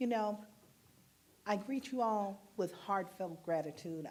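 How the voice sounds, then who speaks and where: Audible room echo surrounds a woman speaking in a dark, mellow tone. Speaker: minister. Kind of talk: sermon. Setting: church.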